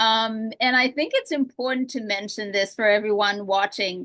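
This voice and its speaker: A woman with a Romanian accent, fairly slow, with ordinary pitch variation. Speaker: real estate podcast host. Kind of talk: interview.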